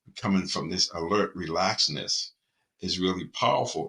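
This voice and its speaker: In a very clean recording with a silent background, a man with a Boston accent speaks at a moderate pace in a very deep, low pitch, with a bright, sharp tone and ordinary pitch variation. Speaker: mindfulness and performance coach. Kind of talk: talk to camera on mindfulness. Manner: calm, reflective.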